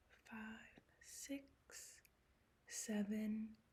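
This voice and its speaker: A woman is speaking. She is soft-spoken. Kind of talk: ASMR show-and-tell.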